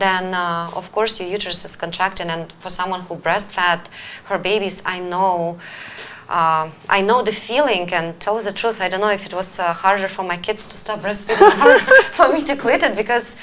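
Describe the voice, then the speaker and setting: A woman of medium pitch talks at a moderate pace with ordinary pitch variation while noticeable background noise carries on. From Ukraine. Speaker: wellness coach and show host. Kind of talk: live-stream talk show. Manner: hesitant, many fillers.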